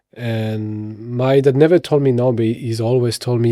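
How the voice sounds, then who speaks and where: In a very clean recording with a silent background, a man with a strong French accent speaks in a dark, mellow tone with monotone, flat intonation. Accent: thick French. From France, Paris. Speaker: actor and model. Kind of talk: podcast interview.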